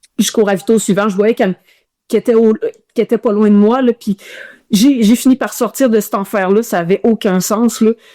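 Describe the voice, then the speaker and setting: A woman's fairly high voice, fairly quick in pace with long, frequent pauses, dark and mellow in tone, in a dry, close sound with no echo. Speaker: ultramarathon runner. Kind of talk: casual interview storytelling. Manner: animated, hesitant with many repetitions.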